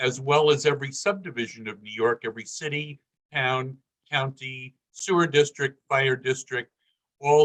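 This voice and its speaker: A man at medium pitch with a plain, everyday voice, moderate pace and fairly even intonation, the sound dry and close with no echo. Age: 60s. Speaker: political candidate, former city councilman. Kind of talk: campaign speech.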